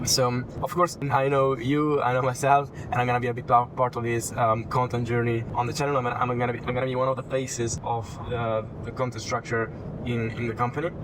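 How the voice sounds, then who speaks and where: Over noticeable background noise, someone with an Italian accent talks at a fairly quick pace in a monotone, flat intonation. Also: man, medium pitch for a man. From Italy. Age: 20s. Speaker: personal branding consultant. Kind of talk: casual consultation. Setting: in a car.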